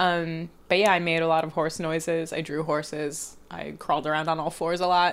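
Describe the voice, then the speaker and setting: At a moderate pace, a woman talks at a fairly low pitch in a monotone, flat intonation. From Northern California, Palo Alto. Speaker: artist and cartoonist. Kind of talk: casual interview. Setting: at guest's home with dog.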